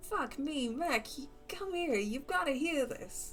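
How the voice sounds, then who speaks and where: In a put-on character voice with a New York accent, the speaker uses a high pitch and a fairly slow pace. Background noise is clearly audible. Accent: bad New York. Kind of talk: casual swearing.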